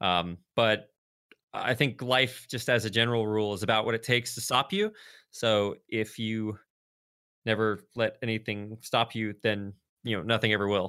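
A man with an American accent at a fairly low pitch, bright and sharp in tone, in a monotone, flat intonation at a moderate pace, on a very clean recording with a silent background. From US South, rural North Texas. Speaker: esports broadcaster. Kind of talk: casual interview.

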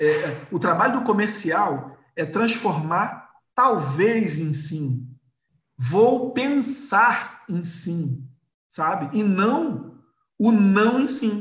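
A man speaks very slowly in a high voice with very wide swings in pitch, and room echo is audible. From Rio de Janeiro, Brazil. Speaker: entrepreneur and sales expert. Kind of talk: casual interview, live stream.

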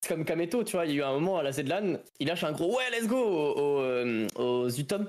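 A man talks in a fairly high voice, his intonation lively. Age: 20s. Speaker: streamer. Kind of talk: casual chat.

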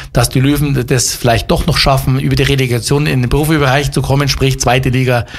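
At a fairly quick pace, a man with a fairly high pitch speaks in a somewhat breathy voice. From Upper Bavaria, Germany. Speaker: former football player and coach. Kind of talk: interview. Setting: studio. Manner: hesitant, many fillers.

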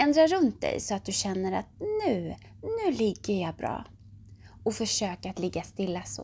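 A calm, warm tone at a fairly slow pace, on a very clean recording with a silent background. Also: woman. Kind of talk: guided meditation (yoga nidra) for children at bedtime. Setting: bedtime audio. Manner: slow, soothing and gentle, with long pauses between body parts; calm, warm and reassuring, speaking directly to the child.

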